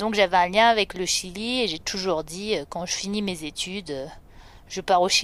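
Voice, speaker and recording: Her pitch at medium level, a woman speaks with ordinary pitch variation. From France, French Alps (Savoie). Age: 30s. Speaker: holistic therapist. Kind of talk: personal testimony. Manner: hesitant, many fillers.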